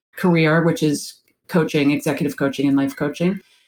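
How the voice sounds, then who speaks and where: A woman with a normal speaking voice talks at a fairly low pitch and with ordinary pitch variation. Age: 50s. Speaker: executive and life coach. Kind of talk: radio interview.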